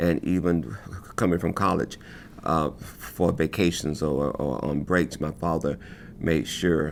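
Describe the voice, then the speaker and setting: A man with an American accent speaks at a very deep, low pitch with vocal fry and ordinary pitch variation. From US South. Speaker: choreographer. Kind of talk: testimony. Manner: halting, with repetitions.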